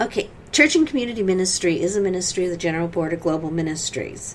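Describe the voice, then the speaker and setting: A woman with a Great Plains accent speaks at a fairly quick pace. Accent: Great Plains accent, noticeable locally. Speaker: church community worker. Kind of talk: interview.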